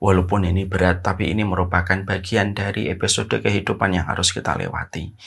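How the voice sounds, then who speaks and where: A man with a very deep, low voice talks at a very fast pace with hardly any pauses and fairly even intonation against a quiet background. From Indonesia. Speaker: Islamic preacher; religious teacher. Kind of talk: religious lecture. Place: home room. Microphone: lapel.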